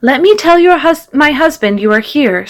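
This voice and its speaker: A woman uses a put-on character voice, pitched high, with very wide pitch swings. Her loudness stays very even at a moderate pace. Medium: read story. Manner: warm, gentle.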